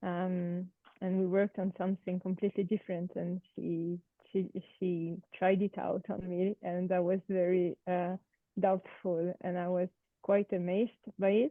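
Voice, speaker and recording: At a fairly slow pace, a woman with a French accent and medium pitch talks in a flat monotone. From France. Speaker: participant. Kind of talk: group discussion introduction. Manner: hesitant, many fillers.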